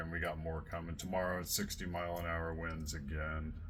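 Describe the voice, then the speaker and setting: In a room with audible echo, a man speaks with a very deep, low pitch and a bright, sharp tone, his intonation flat and monotone. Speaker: radio show host and researcher. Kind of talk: casual chat. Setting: live radio show linked by call. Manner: slow.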